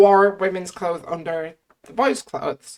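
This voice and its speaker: This woman speaks with an Irish accent and a fairly low pitch. Her pace is fairly slow. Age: 20s. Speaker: YouTuber. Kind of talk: casual chat.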